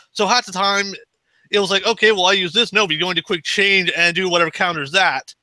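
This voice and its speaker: In a raised, projected voice with a bright, sharp tone, a man speaks very fast at a high pitch, the sound dry and close with no echo. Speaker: podcast co-host. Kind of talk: casual chat.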